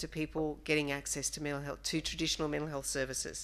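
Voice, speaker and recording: The speaker is a woman. Her accent is Australian. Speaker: director of an online mental health service. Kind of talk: conference presentation.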